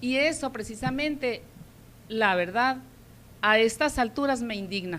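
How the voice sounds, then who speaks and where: With long, frequent pauses, a woman speaks at a fairly slow pace and a high pitch, with ordinary pitch variation. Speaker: schoolteacher and local party activist. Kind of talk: interview.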